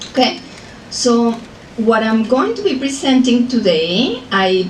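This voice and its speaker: A woman with a Colombian accent speaks at a high pitch and a fairly slow pace, her intonation lively. The recording carries audible room echo and noticeable background noise. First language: Spanish. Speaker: professor. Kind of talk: lecture.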